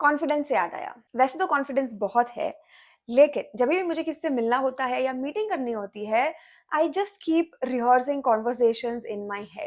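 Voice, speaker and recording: Against a quiet background, a woman speaks at a high pitch with lively intonation. Her pace is moderate, with big swings in loudness. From Maharashtra, India (Chhatrapati Sambhajinagar). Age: 20s. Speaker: content creator and IT engineer. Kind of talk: casual vlog self-introduction. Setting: YouTube video recording. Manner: Hindi-English code-switching, conversational.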